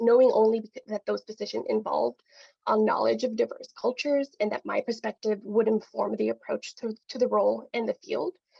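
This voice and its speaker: A woman speaks with a Spanish accent at a moderate pace. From Mexican-American community, US. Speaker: publishing professional, webinar panelist. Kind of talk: webinar talk. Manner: frequent fillers (um, uh), some false starts.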